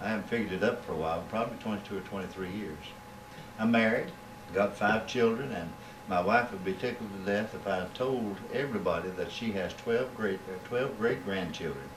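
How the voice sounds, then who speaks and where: With a Kentucky accent, the speaker moves at a fairly quick pace with ordinary pitch variation, amid audible room echo and noticeable background noise. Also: man, fairly low pitch for a man. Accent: southern US (Kentucky). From Kentucky, south-central (Monticello). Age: 60s. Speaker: preacher. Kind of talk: interview. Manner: halting, many filler words.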